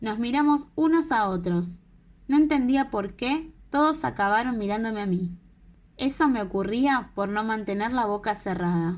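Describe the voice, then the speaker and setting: A woman with a Latin American accent speaks fairly slowly at a fairly high pitch with lively intonation. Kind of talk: audiobook reading. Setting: home recording, no studio.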